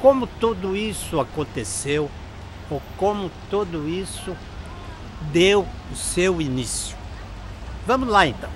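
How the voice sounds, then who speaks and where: A man with a high-pitched voice speaks very slowly, with lively intonation and long, frequent pauses. Noticeable background noise runs underneath. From Brazil, Barra Bonita (São Paulo state). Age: 80s+. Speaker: retired history teacher. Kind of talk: storytelling local history to camera.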